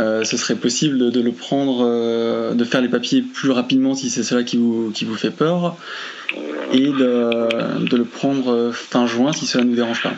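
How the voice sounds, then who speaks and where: Fairly slow speech with fairly even intonation and noticeable background noise. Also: man, medium pitch for a man. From France. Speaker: friend making a phone call. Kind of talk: recorded phone call. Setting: phone call. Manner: halting.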